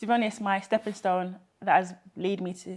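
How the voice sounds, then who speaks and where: With a London accent, a woman speaks at a moderate pace in a medium pitch, her intonation fairly even. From Peckham, South London. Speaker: engineer and social enterprise founder. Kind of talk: interview answer.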